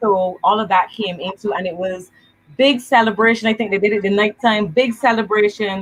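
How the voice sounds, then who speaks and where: Somewhat breathy, a woman at medium pitch speaks at a fairly quick pace with fairly even intonation. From Barbados. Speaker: evangelist. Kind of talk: casual chat.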